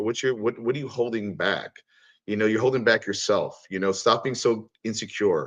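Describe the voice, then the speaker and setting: A man with an American accent talks at a fairly quick pace and a fairly low pitch, in a plain, everyday voice. The background is quiet. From New York. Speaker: cartoonist. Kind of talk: casual chat.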